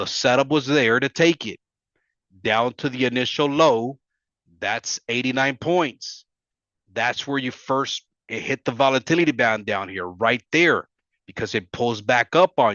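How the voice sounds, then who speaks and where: A man with an ordinary speaking voice talks at a fairly slow pace, using a medium pitch and ordinary pitch variation. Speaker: forex trading educator. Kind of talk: tutorial.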